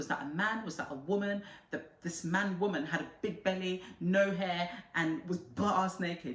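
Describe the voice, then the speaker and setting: Speech comes at a moderate pace with audible room echo. Noticeable background noise sits behind it. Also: woman. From Nigeria. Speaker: vlogger. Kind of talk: casual storytelling vlog. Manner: animated.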